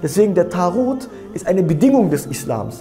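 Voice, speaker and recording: The man's voice comes with faint music in the background. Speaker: religious lecturer. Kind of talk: sermon. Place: studio. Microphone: lapel.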